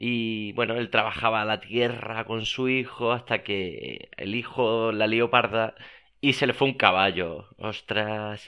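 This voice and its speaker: A man talks at a medium pitch. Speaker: podcast host. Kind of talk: casual monologue. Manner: repetitive, halting.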